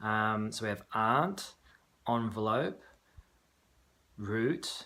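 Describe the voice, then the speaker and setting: This man has a Sydney accent. He talks at a very slow pace. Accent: typical Sydney Australian. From Australia, Sydney. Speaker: video blogger. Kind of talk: reading a word list; casual monologue, accent tag video. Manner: hesitant, many fillers and repeats.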